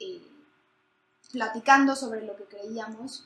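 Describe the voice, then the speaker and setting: A woman speaks at a fairly slow pace with fairly high pitch and ordinary pitch variation. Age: 20s. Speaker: podcast co-host, economics student. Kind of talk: casual chat.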